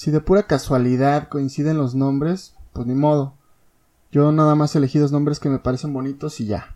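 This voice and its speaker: The speaker has a Mexico City accent and a moderate pace. The background is quiet. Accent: Mexico City Spanish (chilango). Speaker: podcast host and blogger. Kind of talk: casual monologue. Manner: animated.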